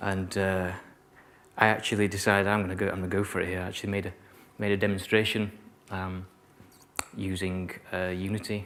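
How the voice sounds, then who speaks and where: A man with a Yorkshire accent talks at a moderate pace in a very deep, low pitch, with monotone, flat intonation and long, frequent pauses. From Yorkshire, northern England. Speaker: keynote speaker, virtual reality designer. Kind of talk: keynote talk to students. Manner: sometimes mumbles; hesitant, many fillers and repetitions.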